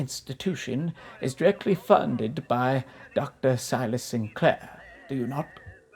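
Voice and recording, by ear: The reading aloud is done in a natural voice that shows ordinary pitch variation.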